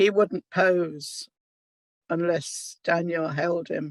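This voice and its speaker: A woman with a southern English accent, dry and close with no echo, against a quiet background. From England. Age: 70s. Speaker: Holocaust survivor. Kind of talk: testimony.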